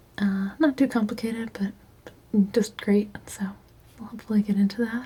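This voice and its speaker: Soft-spoken and relaxed, a woman with a fairly high pitch talks at a moderate pace with fairly even intonation and big swings in loudness, over noticeable background noise. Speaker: painter / ASMR art creator. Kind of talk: soft-spoken ASMR painting commentary. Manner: soft-spoken, relaxed.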